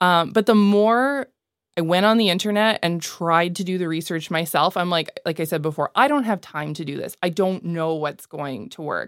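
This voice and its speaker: With an ordinary speaking voice, a woman talks at a moderate pace in a fairly low pitch and lively intonation, the sound dry and close with no echo on a very clean recording with a silent background. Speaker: mortgage specialist, client.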